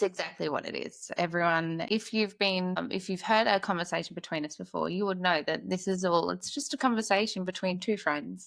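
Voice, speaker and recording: A woman at medium pitch with an Australian accent, talking at a fairly quick pace with hardly any pauses. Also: ordinary pitch variation, very clean recording, silent background. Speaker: podcast host, mother. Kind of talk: casual chat.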